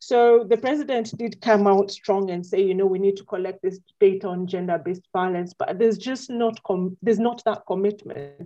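At a moderate pace and medium pitch, a woman speaks with hardly any pauses, a dark, mellow tone, ordinary pitch variation and big swings in loudness. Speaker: public health researcher. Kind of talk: interview.

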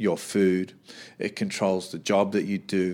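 A man with an Australian accent speaks at a very slow pace. The recording is very clean, with a silent background. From Australia, Sydney. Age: 40s. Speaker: boxing coach and gym owner. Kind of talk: casual interview.

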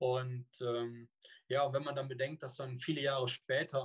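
A somewhat breathy man at a medium pitch, monotone and flat in intonation, in a dry, close sound with no echo. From Rhineland, Cologne. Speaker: long-distance swimmer and swim coach. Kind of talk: interview. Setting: video call.

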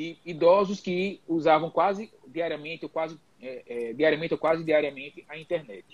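A man talks in a normal speaking voice, with a fairly high pitch and ordinary pitch variation. His pace is moderate, with hardly any pauses and big swings in loudness. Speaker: geriatrician. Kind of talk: live panel discussion. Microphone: connection cutting out.

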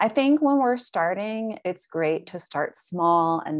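The speaker has an American accent and a very slow pace. The pitch swings very widely. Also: woman. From US South. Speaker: yoga teacher. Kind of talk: casual interview chat.

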